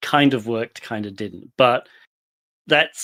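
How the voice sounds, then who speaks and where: With a British accent, a man talks at a medium pitch with ordinary pitch variation on a very clean recording with a silent background. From UK. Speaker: penetration tester. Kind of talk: career story talk.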